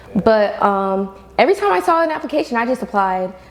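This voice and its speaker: Noticeable background noise runs under this recording. A woman with a fairly high pitch speaks at a fairly quick pace. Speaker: university student leader. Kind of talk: podcast interview. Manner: projecting.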